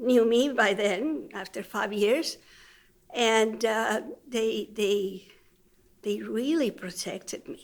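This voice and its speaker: A woman with a Spanish accent, fairly high in pitch, with ordinary pitch variation, a very slow pace and long, frequent pauses. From Mexico City. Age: 70s. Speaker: retired teacher and interviewee. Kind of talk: life story interview. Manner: hesitant with fillers.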